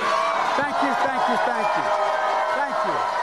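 A man talks at a moderate pace while noticeable background noise plays. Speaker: politician, presidential candidate. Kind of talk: political campaign speech. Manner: stuttering, slurring, mispronouncing words. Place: hall. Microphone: podium.

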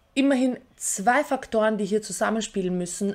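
Against a quiet background, a woman speaks at a fairly slow pace. Her pitch is fairly high, with ordinary variation. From Austria. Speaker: YouTuber; political commentary vlogger. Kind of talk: scripted commentary. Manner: formal. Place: home room.

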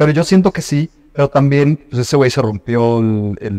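With lively intonation and a medium pitch, a man talks at a fairly quick pace in a dry sound with no echo. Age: 20s. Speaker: podcast host. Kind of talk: casual chat. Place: home room. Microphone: studio mic.

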